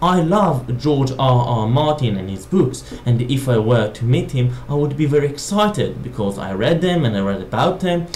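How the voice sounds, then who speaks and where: Someone with a non-native accent speaks at a moderate pace over noticeable background noise. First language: not English. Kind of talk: casual talk to camera.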